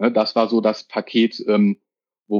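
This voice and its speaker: A man speaks in a medium pitch. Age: 40s. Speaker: controller. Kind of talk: casual interview. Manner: hesitant, many fillers.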